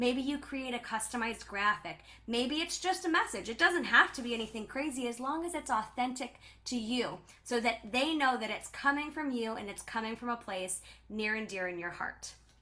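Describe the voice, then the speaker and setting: The voice is loud and animated, with lively intonation at a moderate pace. Noticeable background noise is present. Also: woman, high pitch for a woman. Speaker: direct sales team leader. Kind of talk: live stream talk. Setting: livestream.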